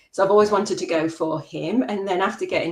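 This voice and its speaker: A woman is speaking. She has a slight English accent. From English Midlands, Worksop, Nottinghamshire. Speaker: macro photographer. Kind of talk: interview.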